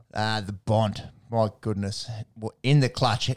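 In an Australian accent, a man with a fairly low voice keeps his intonation fairly even, the sound dry and close with no echo. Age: 30s. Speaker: sports podcast co-host. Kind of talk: casual chat.

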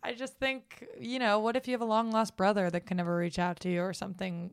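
A woman of medium pitch with an American accent, in a plain, everyday voice, talks at a fairly quick pace with hardly any pauses and ordinary pitch variation. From United States. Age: 20s. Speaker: comedian. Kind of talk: casual chat.

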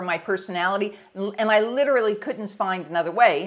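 In an American accent, a woman speaks at a fairly quick pace with an energetic tone and medium pitch. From US Northeast, near New York City. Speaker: leadership coach. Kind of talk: interview. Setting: video call.

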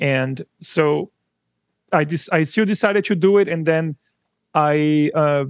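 With a Brazilian accent, the speaker talks at a very slow pace against a quiet background. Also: man. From São Paulo, Brazil. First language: Portuguese. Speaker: audio company founder, musician. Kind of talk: interview conversation. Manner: halting, hesitant.

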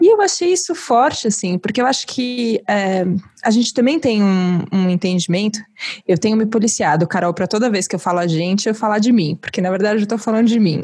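A woman's somewhat breathy, fairly high voice at a fairly quick pace, with lively intonation over a quiet background. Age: 30s. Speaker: podcast host. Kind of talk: casual interview conversation.

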